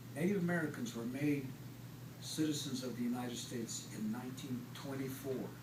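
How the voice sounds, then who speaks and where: A man's medium-pitched voice at a fairly quick pace, with fairly even intonation and noticeable background noise. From Ute reservation, western United States. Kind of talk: educational presentation to an audience. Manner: soft-spoken.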